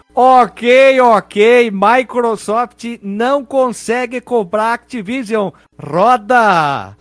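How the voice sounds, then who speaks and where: Music sits in the background as a man speaks at a very slow pace. His pitch is extremely high, with ordinary pitch variation. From Rio Grande do Sul, Brazil (Caxias do Sul). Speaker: podcast host. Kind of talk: casual chat.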